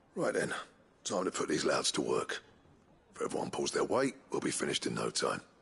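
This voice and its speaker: Using a raspy, put-on character voice, a man speaks at a fairly quick pace broken by long, frequent pauses. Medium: video game. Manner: gruff.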